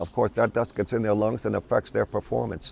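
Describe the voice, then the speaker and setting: A man's fairly low, fry-edged voice in an American accent, dry and close with no echo. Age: 70s. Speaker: pigeon fancier. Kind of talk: interview. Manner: halting.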